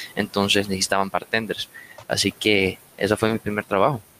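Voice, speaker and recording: At a moderate pace and fairly low pitch, a man talks in an ordinary speaking voice. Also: dry, close sound with no echo. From Latin America. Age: 20s. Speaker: bar manager. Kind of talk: casual chat.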